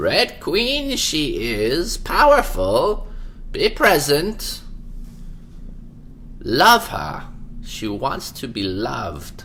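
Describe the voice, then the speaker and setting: In a put-on character voice, a man speaks at a very slow pace with long, frequent pauses. Background noise is clearly heard. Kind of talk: odd inverted syntax. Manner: wise, gentle.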